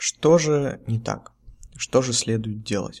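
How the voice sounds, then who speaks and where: A man's medium-pitched, relaxed voice at a very slow pace, with ordinary pitch variation. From Russia, Nizhny Novgorod. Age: 20s. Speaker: podcast host, tea seller. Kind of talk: solo podcast monologue. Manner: casual, relaxed.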